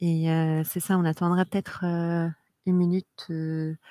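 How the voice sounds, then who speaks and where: At a very slow pace, a woman's dark, mellow, fairly low voice comes through dry with no echo against a quiet background. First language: Arabic (speaking French). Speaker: event host. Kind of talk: event hosting. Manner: halting, many hesitations. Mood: relaxed, smiling. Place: stage. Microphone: headset.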